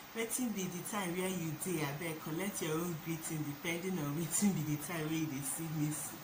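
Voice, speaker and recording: Over noticeable background noise, a woman with a fairly low pitch speaks at a moderate pace, her pitch varying in an ordinary way. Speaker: vlogger. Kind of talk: casual talk to camera.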